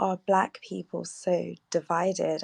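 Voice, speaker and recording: Monotone, flat intonation comes through in a British accent. The sound is dry and close with no echo, over a quiet background. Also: woman. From United States, schooled in UK. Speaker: caller. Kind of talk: call-in question.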